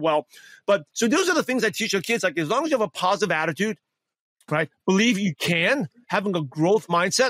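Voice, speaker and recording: A man with an American accent talks at a fairly quick pace in a high pitch, the sound dry and close with no echo. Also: lively intonation, very even loudness. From US Northeast, Brooklyn New York. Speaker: author and coach. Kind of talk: interview. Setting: video call.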